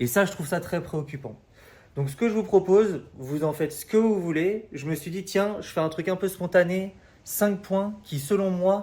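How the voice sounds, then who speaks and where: A man speaks at a high pitch with a dark, mellow tone. His loudness swings widely. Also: ordinary pitch variation, moderate pace. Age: 30s. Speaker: recruitment coach. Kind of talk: casual advice talk to camera. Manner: hesitant, many fillers.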